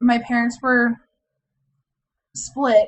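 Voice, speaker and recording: A woman talks with an American accent. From Indiana, US Midwest. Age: 20s. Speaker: video blogger. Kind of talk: personal vlog, casual monologue.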